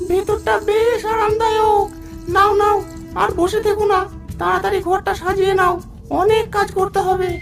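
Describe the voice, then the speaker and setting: A cartoonish character voice at an extremely high pitch moves at a moderate pace while clear music plays in the background. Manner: bossy, greedy.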